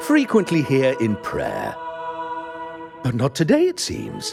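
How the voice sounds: Man in a put-on character voice at medium pitch, slightly mellow in tone with vocal fry, very wide pitch swings and a slow pace, faint music in the background.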